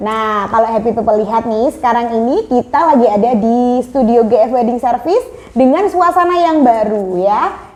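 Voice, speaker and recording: Over noticeable background noise, a woman talks at a fairly quick pace. Her high voice is animated, with very wide pitch swings. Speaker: podcast host. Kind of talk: casual podcast chat; product promotion. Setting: studio.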